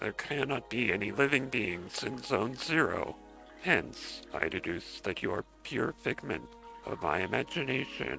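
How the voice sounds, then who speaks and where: Put-on character voice from a man at medium pitch, clear music in the background. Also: moderate pace. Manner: weird, stylized, pompous.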